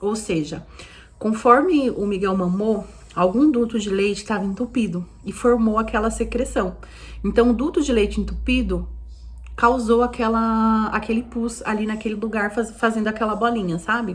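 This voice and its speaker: A woman's fairly high voice with ordinary pitch variation, over noticeable background noise. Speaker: vlogger mother. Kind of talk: casual vlog monologue. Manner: fast.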